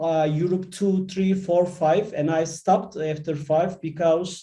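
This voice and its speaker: A man speaks at a very slow pace in a high pitch for a man. His tone is dark and mellow. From Turkey. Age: 50s. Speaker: IT manager and course alumnus. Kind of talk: panel introduction on online session. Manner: halting with many fillers.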